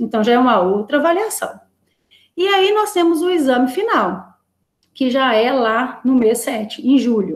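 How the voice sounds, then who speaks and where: Speech moves at a fairly slow pace with very wide pitch swings. Loudness stays very even. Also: woman, high pitch for a woman. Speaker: course coordinator. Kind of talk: online meeting presentation.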